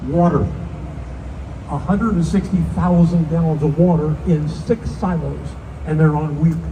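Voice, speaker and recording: The speech moves at a fairly slow pace, broken by long, frequent pauses, with noticeable background noise behind it. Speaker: tour guide. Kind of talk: guided tour commentary. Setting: outdoors on a tour boat. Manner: animated.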